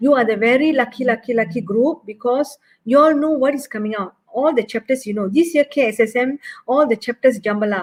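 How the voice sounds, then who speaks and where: Talking at a fairly quick pace, a woman with a Malaysian accent uses a high pitch and ordinary pitch variation. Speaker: maths teacher. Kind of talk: online exam workshop lecture. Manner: fast.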